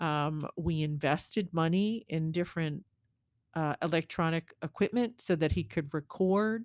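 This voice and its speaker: On a very clean recording with a silent background and a dry, close sound with no echo, a woman with a normal speaking voice speaks at a fairly slow pace and a fairly low pitch, with ordinary pitch variation and very even loudness. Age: 50s. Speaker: podcast co-host. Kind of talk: casual chat.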